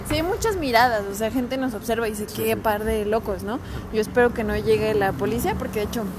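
There is audible room echo and noticeable background noise as a woman speaks at a very fast pace. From Mexico, León. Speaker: podcast guest. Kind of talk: comedic podcast chat.

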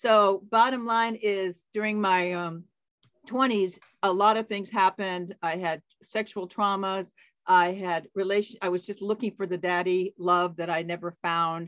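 A plain, everyday voice, fairly slow in pace, with fairly even intonation. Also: woman, medium pitch for a woman. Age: 60s. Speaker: life coach and author. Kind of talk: casual interview chat. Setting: remote call.

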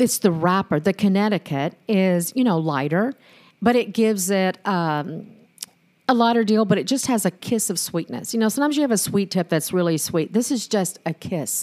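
A woman speaks in a plain, everyday voice at a moderate pace, with lively intonation. The recording is very clean, with a silent background. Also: medium pitch for a woman. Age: 60s. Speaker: singer and cigar enthusiast. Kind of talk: testimony.

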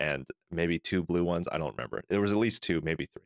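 A man with an American accent, fairly quick pace and vocal fry, ordinary pitch variation, dry close sound with no echo, very clean recording against a silent background. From California. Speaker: podcast co-host. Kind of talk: casual chat.

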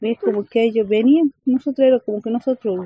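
A woman's fairly high voice moves at a moderate pace. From Argentina, Calchaquí valleys, Cafayate, Salta. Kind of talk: interview. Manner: halting.

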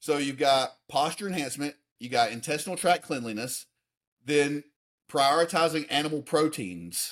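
A plain, everyday voice from a man, fairly high in pitch, with ordinary pitch variation and a moderate pace, in a very clean recording with a silent background. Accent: American. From US South, Alabama. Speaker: fitness coach and personal development advisor. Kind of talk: interview.

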